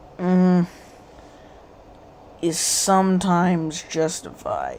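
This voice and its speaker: A woman with an American accent speaks at a very slow pace against noticeable background noise. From United States. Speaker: political commentary YouTuber. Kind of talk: casual livestream commentary. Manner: animated.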